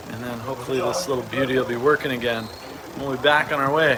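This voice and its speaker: A man with a medium-pitched voice keeps his intonation fairly even as noticeable background noise runs underneath. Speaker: vlogger and business owner building modular housing. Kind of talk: casual vlog narration. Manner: loud.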